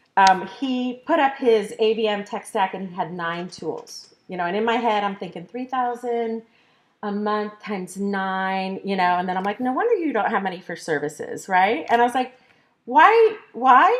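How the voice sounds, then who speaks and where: With an ordinary speaking voice, a woman talks at a moderate pace and a fairly high pitch, with ordinary pitch variation. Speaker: marketing consultant and workshop presenter. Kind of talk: conference workshop presentation.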